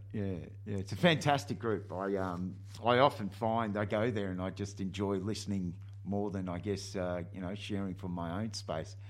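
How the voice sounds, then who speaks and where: Speaking with an Australian accent, a man holds a moderate pace and fairly even intonation. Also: fairly low pitch for a man. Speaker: radio host. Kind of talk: casual interview. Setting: studio.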